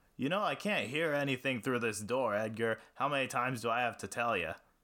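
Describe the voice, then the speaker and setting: A gruff, put-on character voice moves at a fairly quick pace over a very clean recording with a silent background. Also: man, medium pitch for a man. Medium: read story. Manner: hearty, gruff.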